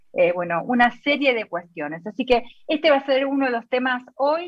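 A woman talks at a moderate pace with lively intonation. She has an ordinary speaking voice. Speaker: radio host. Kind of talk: casual chat.

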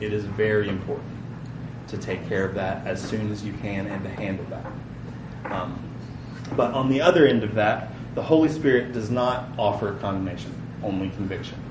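Noticeable background noise sits behind a man with a fairly low pitch and ordinary pitch variation. He speaks at a moderate pace with long, frequent pauses. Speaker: preacher. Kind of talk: sermon. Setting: church. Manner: casual, conversational.

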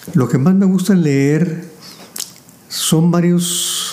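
A man's speech, with ordinary pitch variation, comes through audible room echo and noticeable background noise. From Mexico, Saltillo, Coahuila. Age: 80s+. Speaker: businessman and engineer. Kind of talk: interview. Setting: home library.

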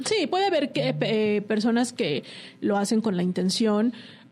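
A woman's fairly high pitch at a moderate pace against noticeable background noise. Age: 40s. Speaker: lawyer. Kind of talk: casual interview.

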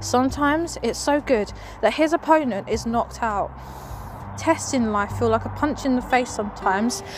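Noticeable background noise runs under the recording. The speech moves at a moderate pace. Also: woman. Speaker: podcast host. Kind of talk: fervent prayer; casual devotional chat. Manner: earnest, fervent, impassioned; warm, rambling, cheerful.

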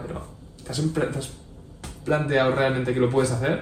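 Audible room echo and noticeable background noise surround a man speaking at medium pitch with fairly even intonation. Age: 30s. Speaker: entrepreneur and amateur rally racer. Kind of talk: interview.

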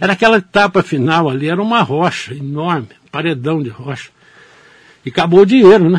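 A man speaks at a high pitch and a fairly quick pace, his intonation lively. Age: 60s. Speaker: newspaper editor and journalist. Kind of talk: radio interview. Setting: radio studio.

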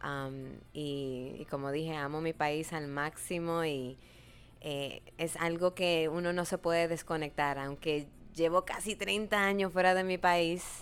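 On a very clean recording with a silent background, a woman speaks very slowly in a fairly low voice. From Dominican Republic. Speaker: radio host and businesswoman. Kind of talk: casual interview. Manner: animated.

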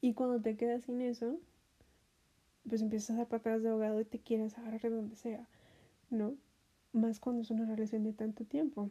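The voice has a dark, mellow tone, somewhat breathy, with monotone, flat intonation. It moves at a fairly quick pace but takes long, frequent pauses. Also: woman, fairly high pitch for a woman. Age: 30s. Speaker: podcast host. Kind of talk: casual monologue. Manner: hesitant, many fillers.

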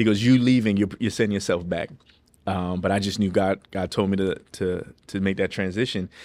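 Captured in a very clean recording with a silent background, an ordinary speaking voice belongs to a man with an American accent, who speaks at a fairly low pitch and a fairly quick pace with fairly even intonation. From New York City. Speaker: pastor. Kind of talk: testimony in casual interview.

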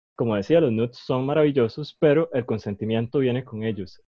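At a moderate pace, a man with a medium pitch and ordinary pitch variation speaks in a normal speaking voice. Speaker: podcast host. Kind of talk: casual chat.

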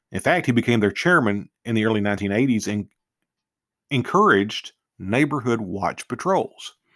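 With a plain, everyday voice, a man speaks at a moderate pace and medium pitch with lively intonation, in a very clean recording with a silent background and a dry, close sound with no echo. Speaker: true crime podcaster. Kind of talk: true-crime narration, read-aloud case summary. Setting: studio podcast. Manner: formal and measured, with occasional stumbles and self-corrections.

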